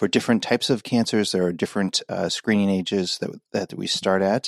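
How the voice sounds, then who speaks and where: A man with a plain, everyday voice talks at a fairly quick pace with fairly even intonation. The sound is dry and close, with no echo. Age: 40s. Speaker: gastrointestinal pathologist. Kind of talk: interview.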